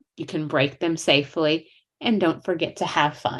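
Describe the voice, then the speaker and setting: A woman speaks at a fairly slow pace. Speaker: portrait photographer. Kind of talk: presentation.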